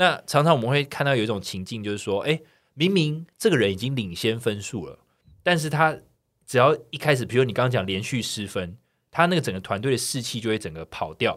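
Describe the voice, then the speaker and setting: At a fairly quick pace, a man talks at medium pitch with lively intonation. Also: very clean recording, silent background. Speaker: podcast co-host. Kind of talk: casual chat. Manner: animated, laughs often.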